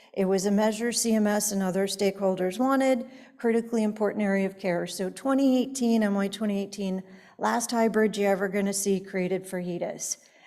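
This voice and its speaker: The woman's medium-pitched voice has a dark, mellow tone and fairly even intonation at a fairly quick pace. Audible room echo surrounds it. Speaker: conference speaker on healthcare quality measures. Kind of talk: conference presentation. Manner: fast.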